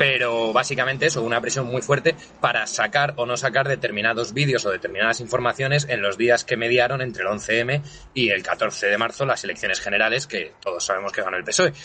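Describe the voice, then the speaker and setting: Against noticeable background noise, a man speaks at a fairly quick pace in a medium-pitched voice with ordinary pitch variation. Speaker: podcast co-host. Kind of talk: casual chat.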